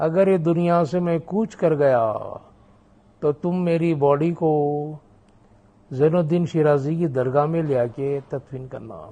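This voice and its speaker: A man with a dark, mellow tone and fairly high pitch speaks with ordinary pitch variation and long, frequent pauses. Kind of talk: storytelling history talk.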